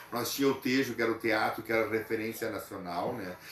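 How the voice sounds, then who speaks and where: A man's medium-pitched voice with a southern Brazilian accent, over noticeable background noise. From southern Brazil, western Santa Catarina. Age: 60s. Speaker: local cultural figure interviewed. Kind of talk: interview. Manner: hesitant, with filler sounds.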